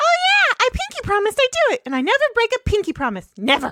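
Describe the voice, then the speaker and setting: In a put-on character voice, a female-sounding speaker squeaks at an extremely high pitch with very wide pitch swings and a very fast pace. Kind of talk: comic overacting. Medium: game stream. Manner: fast, excitable.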